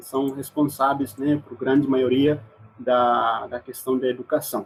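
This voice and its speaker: In an East Timorese accent, a man speaks at a fairly slow pace with a medium pitch. His intonation is monotone and flat, while his loudness swings widely. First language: Mambai (speaking Portuguese). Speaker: exchange student. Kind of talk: presentation with slides. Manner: halting.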